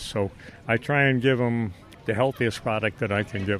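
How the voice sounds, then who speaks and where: Music sits in the background. A man speaks with ordinary pitch variation. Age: 70s. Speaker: fruit farmer. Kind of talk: interview.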